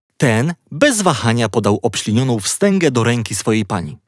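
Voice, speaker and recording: A man talks in an ordinary speaking voice at a medium pitch and a moderate pace, with lively intonation. The recording is very clean with a silent background and a dry, close sound with no echo. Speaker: audiobook narrator. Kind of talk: bedtime story reading, children's audiobook narration. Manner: calm, gently paced, storyteller tone.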